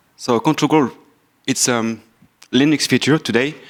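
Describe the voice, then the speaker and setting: This is a man speaking. He has a French accent. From France. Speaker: software engineer and company founder. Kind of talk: conference talk.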